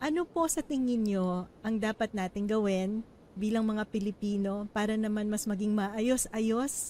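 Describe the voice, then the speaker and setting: A woman's ordinary speaking voice, fairly high in pitch with ordinary pitch variation, very even loudness and a fairly slow pace. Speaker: economist and interviewer. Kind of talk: interview. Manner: polite, formal (uses po).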